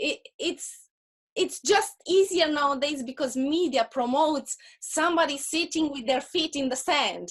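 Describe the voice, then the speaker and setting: The woman speaking has a Russian accent. Her pitch is high and her pace moderate. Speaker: photographer, entrepreneur. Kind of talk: interview.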